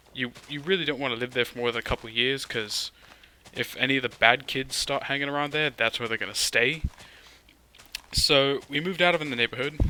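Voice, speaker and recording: Against noticeable background noise, a man with a medium pitch and ordinary pitch variation talks at a very fast pace. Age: young. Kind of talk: casual gaming commentary.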